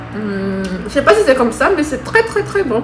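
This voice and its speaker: A woman's voice with music in the background. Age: 20s. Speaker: student. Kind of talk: casual food tasting talk to camera.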